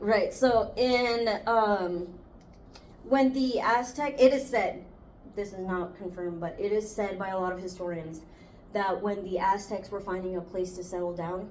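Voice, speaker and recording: A woman talks at a fairly slow pace, her medium pitch varying in an ordinary way. Room echo can be heard. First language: Spanish. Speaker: student podcast host. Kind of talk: casual chat.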